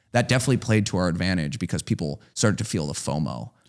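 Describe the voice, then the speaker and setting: In a very clean recording with a silent background, a man with an American accent talks very fast with lively intonation. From US Midwest, Chicago. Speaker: hardware startup founder. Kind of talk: casual interview.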